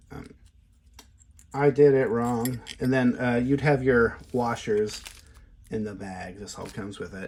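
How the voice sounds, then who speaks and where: Pausing long and often, a man talks at a fairly slow pace and medium pitch, his loudness swinging widely over noticeable background noise. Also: ordinary pitch variation. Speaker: lockpicking tool maker and hobbyist. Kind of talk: casual product demo talk to camera. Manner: conversational, with hesitations and filler words.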